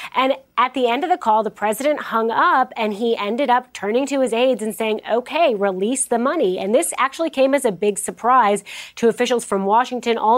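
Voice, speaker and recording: An ordinary speaking voice from a woman, fairly high-pitched, fairly quick, with ordinary pitch variation. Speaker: news correspondent. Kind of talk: news report.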